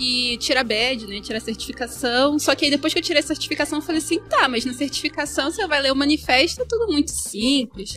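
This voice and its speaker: A woman talks fairly quickly in a high voice with lively intonation and hardly any pauses. Noticeable background noise runs behind her. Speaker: diversity and inclusion consultant. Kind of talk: casual chat. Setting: recorded at a live event. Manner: calm.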